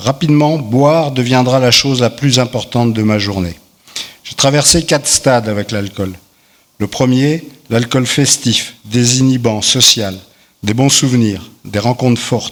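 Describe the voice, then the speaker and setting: This man uses a normal speaking voice at a medium pitch. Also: ordinary pitch variation, fairly slow pace. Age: 60s. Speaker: recovering alcoholic giving testimony. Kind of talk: testimony read aloud.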